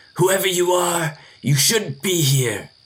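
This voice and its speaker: Using a put-on character voice, a man speaks raspy and high-pitched at a fairly slow pace with ordinary pitch variation. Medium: audio drama. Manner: nervous, muttering to himself.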